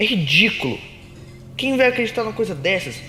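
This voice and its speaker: With music playing behind him, a man talks in a high-pitched voice. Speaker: voice actor / narrator of original anime-style stories. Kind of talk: first-person story narration, confessional tone. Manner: soft-spoken, relaxing.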